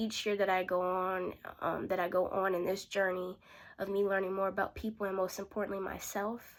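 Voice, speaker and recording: In a very clean recording with a silent background, a woman speaks at a moderate pace in a medium pitch with monotone, flat intonation. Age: young. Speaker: aspiring sales rep preparing for interview. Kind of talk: interview practice tutorial. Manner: casual, self-correcting.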